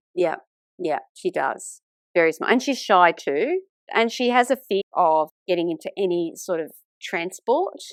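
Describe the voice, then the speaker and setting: At a fairly slow pace, a woman with an Australian accent speaks in a medium pitch with lively intonation, and the sound is dry and close with no echo. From Sydney, Australia (Italian migrant family). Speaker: author and teacher. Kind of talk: podcast interview.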